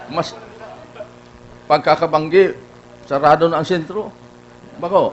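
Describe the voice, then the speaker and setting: Over noticeable background noise, a man with a Filipino accent speaks at high pitch and a moderate pace, with fairly even intonation and long, frequent pauses. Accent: Filipino (Bicolano) English. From Philippines, Bicol region (Naga). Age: 80s+. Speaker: award honoree speaker. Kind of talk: speech at awards ceremony. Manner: halting, many restarts.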